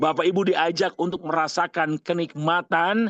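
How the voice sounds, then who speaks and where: The voice has an animated tone and a dry, close sound with no echo against a quiet background. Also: man. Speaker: umrah guide and seminar speaker. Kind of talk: online seminar talk. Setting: video call.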